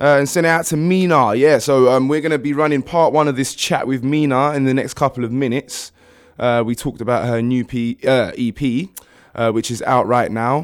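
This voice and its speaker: This man has a British accent and speaks at a moderate pace in a medium pitch with ordinary pitch variation. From UK, Ghanaian family. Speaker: radio host. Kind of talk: casual chat.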